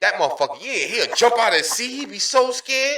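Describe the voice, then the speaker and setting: A man speaks in a raised, projected voice at an extremely high pitch and a very fast pace. His intonation is lively, with big swings in loudness. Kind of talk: casual, slang-heavy, profane.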